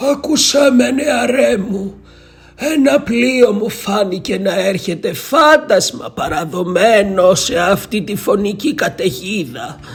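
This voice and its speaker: Here a man is doing a put-on character voice. His pitch is high. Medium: read story. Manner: ominous, solemn.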